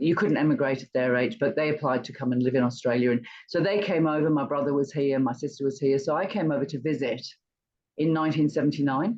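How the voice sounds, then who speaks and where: A woman speaks at a very fast pace in a very deep, low pitch, with ordinary pitch variation. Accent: English. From England. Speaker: retired entrepreneur and charity fundraiser. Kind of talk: interview.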